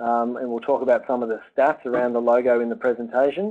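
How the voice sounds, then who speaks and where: A man talks at a fairly quick pace, with the background around him quiet. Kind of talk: webinar presentation. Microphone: video call.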